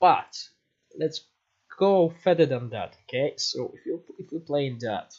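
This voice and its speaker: A man with a non-native accent talks at a high pitch and a fairly slow pace. His pitch swings very widely. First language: not English. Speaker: gaming streamer. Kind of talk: live game stream commentary. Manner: casual, conversational.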